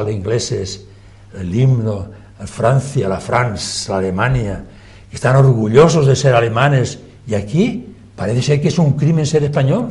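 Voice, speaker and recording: Amid noticeable background noise and audible room echo, a man at medium pitch talks fairly slowly with lively intonation. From Catalonia, Spain. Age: 80s+. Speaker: former politician. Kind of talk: TV debate. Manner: animated.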